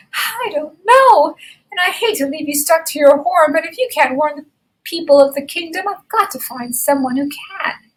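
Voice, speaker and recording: A woman's put-on character voice, high in pitch. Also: moderate pace, lively intonation. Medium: read story.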